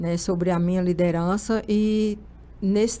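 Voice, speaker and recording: Medium pitch and fairly even intonation from a woman. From Brazil, Pernambuco backlands (Araripina). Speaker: human resources manager. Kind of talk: interview.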